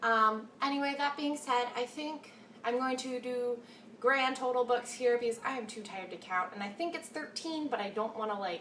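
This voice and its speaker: Over noticeable background noise, a woman talks in a high-pitched voice. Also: ordinary pitch variation, moderate pace. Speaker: book vlogger. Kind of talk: casual chat.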